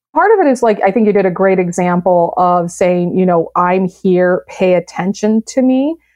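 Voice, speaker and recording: A woman with an American accent speaks in a normal speaking voice of medium pitch, at a moderate pace, with ordinary pitch variation and very even loudness. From US Midwest, south side of Chicago. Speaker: science writer and STEM program director. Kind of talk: podcast interview.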